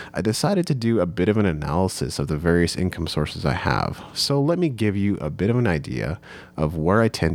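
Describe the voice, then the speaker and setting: A man with a very deep, low voice and vocal fry talks at a fairly quick pace. His intonation is lively, and he hardly pauses at all. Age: 30s. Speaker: podcast host and music entrepreneur. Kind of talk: solo podcast monologue.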